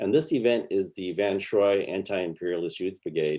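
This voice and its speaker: Speaking at a moderate pace, a man with an American accent has a fairly low pitch and a dark, mellow tone. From Los Angeles, US. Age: 70s. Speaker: filmmaker and activist. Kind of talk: panel discussion.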